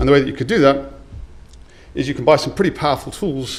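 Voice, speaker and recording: In a room with audible echo, a man's voice comes through somewhat breathy. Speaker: conference speaker. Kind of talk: conference talk. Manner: fast.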